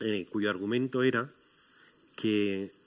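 A man speaks with ordinary pitch variation. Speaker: guest. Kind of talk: panel discussion talk. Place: stage. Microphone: headset.

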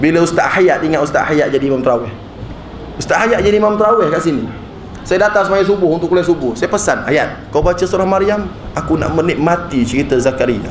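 Fairly quick and lively in intonation, a man talks with a high pitch. The room echo is audible, along with light background noise. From Malaysia. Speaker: religious teacher. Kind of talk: religious talk. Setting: mosque with audience. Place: hall. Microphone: handheld.

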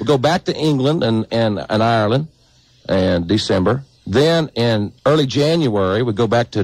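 Against a quiet background, a man's lively intonation comes through in a dry sound with no echo. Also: moderate pace. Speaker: guest. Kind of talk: radio talk show conversation. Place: studio.

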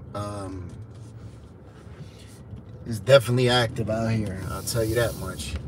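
Talking at a fairly slow pace, a man with an unremarkable speaking voice and fairly low pitch sounds dry with no echo over light background noise. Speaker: street vlogger. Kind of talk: casual livestream chat. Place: car. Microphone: phone near.

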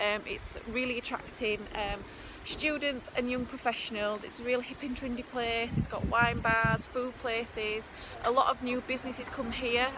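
A woman speaks at a high pitch and moderate pace with fairly even intonation. The sound is dry with no echo, and noticeable background noise comes through. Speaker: property investment vlogger. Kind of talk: casual vlog chat. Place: street. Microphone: phone near.

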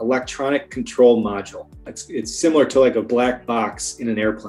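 Over faint background music, a man talks at a moderate tempo. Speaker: remote guest. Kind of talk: interview answer. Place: home room. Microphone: video call.

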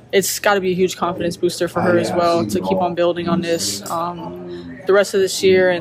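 A woman at a fairly quick pace with ordinary pitch variation, over loud background noise. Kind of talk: interview answer. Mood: calm, upbeat after win. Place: hall.

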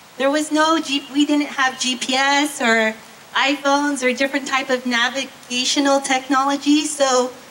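With light background noise present, a woman projects a raised voice at a high pitch. She keeps to a fairly slow pace. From US. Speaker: university professor. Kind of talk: ceremony speech. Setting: stage with audience. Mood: warm, friendly. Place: stage. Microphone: handheld.

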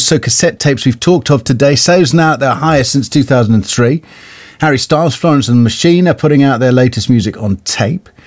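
A man speaks with a British accent at a fairly quick pace. His voice sits at a medium pitch with ordinary pitch variation. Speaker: radio presenter. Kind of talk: radio interview.

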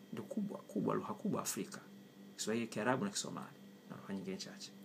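Very fast speech from a man competes with noticeable background noise. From Tanzania, Kilimanjaro (Chagga area); Tanzania. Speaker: writer and language commentator. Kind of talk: opinion monologue. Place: kitchen. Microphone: phone near.

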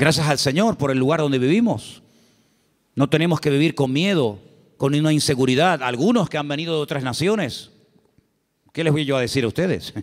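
A man with a fairly high pitch talks at a fairly quick pace, with ordinary pitch variation. He leaves long, frequent pauses. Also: quiet background. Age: 50s. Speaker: pastor. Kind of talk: sermon. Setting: church. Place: church. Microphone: handheld.

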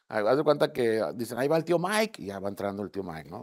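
Over a quiet background, a man talks at a medium pitch. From Mexico, Tamaulipas. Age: 60s. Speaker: political candidate; candidate. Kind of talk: interview. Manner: casual, conversational with fillers. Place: studio. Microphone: lapel.

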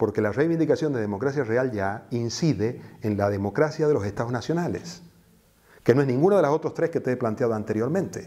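Against a quiet background, a man talks fairly quickly in a dark, mellow tone with lively intonation. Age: 60s. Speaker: activist and teacher; teacher. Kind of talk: interview. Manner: hesitant, with fillers. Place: office. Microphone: lapel.

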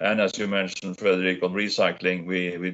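Speaking at a moderate pace, a man with a Norwegian accent has a very deep, low pitch. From Norway. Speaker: business federation president; panelist. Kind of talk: panel discussion. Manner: halting. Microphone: video call.

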